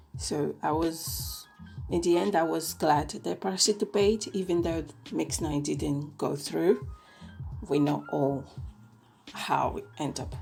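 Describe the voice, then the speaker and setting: Music plays in the background as a woman speaks at a very slow pace. She leaves long, frequent pauses. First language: Italian. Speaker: K-pop reviewer. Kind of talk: casual podcast-style review.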